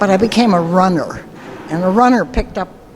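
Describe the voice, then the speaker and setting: There's noticeable background noise behind this woman. She talks at medium pitch and a moderate pace with ordinary pitch variation. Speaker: marine corps veteran. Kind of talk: short personal testimony. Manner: halting, hesitant.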